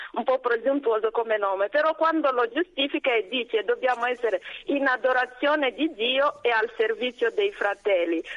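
A woman's high voice with lively intonation, dry and close with no echo. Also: moderate pace. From DR Congo, South Kivu. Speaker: nun, superior general of a congregation. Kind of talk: radio interview. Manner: hesitant, many fillers.

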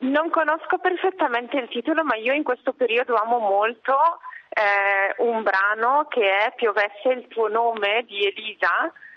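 Against noticeable background noise, a woman with a fairly high pitch talks fairly slowly with lively intonation. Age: 40s. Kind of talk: radio interview.

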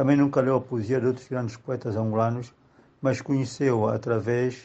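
The man's pitch is medium. He talks in a monotone, flat way. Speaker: writer. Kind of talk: tribute testimony.

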